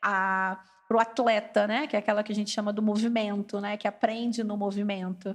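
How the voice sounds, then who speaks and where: A woman talks at a fairly quick pace with a Carioca accent. Her pitch is fairly high. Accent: carioca Brazilian. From Brazil, Rio de Janeiro. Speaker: English education specialist. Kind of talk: casual podcast chat.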